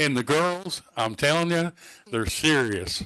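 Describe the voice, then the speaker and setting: Over a quiet background, a man with a bright, sharp tone talks at a fairly high pitch and a fairly slow pace. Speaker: youth hockey team representative. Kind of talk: public comment at council meeting. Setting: council meeting. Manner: slightly impaired speech.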